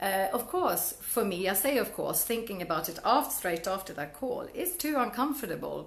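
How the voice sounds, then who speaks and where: With a Swedish accent, a woman speaks at a fairly high pitch and a moderate pace. Her pitch swings very widely, and audible room echo surrounds her. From Sweden. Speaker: network marketing coach. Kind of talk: Facebook Live talk to viewers. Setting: Facebook Live video stream. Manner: halting, with many restarts and fillers.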